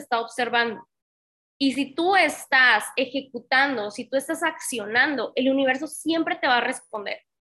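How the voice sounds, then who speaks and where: A woman's high, bright, sharp voice is raised and projected, with ordinary pitch variation at a moderate pace. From Tamaulipas, northern Mexico. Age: 30s. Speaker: network marketing trainer. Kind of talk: motivational training webinar. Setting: online live session with chat. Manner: animated.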